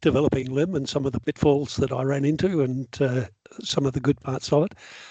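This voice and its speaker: Heard dry and close with no echo, a man talks at a medium pitch with an Australian accent. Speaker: software developer. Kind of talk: lecture. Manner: fast when enthusiastic.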